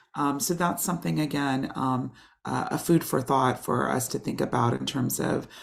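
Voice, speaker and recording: A woman with an American accent speaks at a moderate pace. Her intonation is lively, with vocal fry. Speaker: professor. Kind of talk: lecture. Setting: video call. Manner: halting, many fillers.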